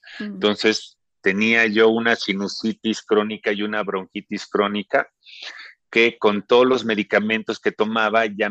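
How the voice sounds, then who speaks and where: A man's fairly low-pitched voice with a bright, sharp tone and monotone, flat intonation, at a moderate pace, sounding dry and close with no echo. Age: 50s. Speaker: chi kung teacher. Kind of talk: interview.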